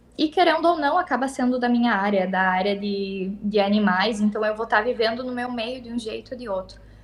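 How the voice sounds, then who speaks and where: Over noticeable background noise, a woman with a fairly high pitch and ordinary pitch variation talks at a fairly quick pace with hardly any pauses. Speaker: veterinary technician. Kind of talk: interview. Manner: halting.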